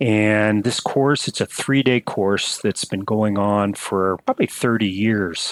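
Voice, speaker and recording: Delivered at a very slow pace with hardly any pauses, the speech has fairly even intonation and a dry, close sound with no echo. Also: man, fairly low pitch for a man. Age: 60s. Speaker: emergency and flight physician. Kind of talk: interview.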